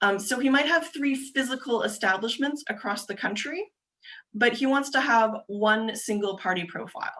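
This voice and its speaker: Lively intonation and a bright, sharp tone mark this moderately paced voice with a Canadian accent. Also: woman, fairly high pitch for a woman. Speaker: government agency presenter. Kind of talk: webinar presentation. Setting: video call.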